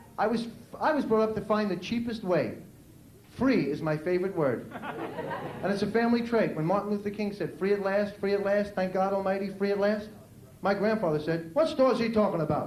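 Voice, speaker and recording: Amid audible room echo and noticeable background noise, a man with an American accent and a high pitch talks at a fairly quick pace. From New York City. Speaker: stand-up comedian. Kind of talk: stand-up. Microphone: poor VHS recording quality.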